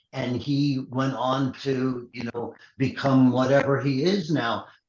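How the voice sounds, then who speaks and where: A man in a New York accent, medium pitch, monotone, flat intonation and a very slow pace. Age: 60s. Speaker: MMA matchmaker. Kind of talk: interview. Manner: blunt, halting with repetitions.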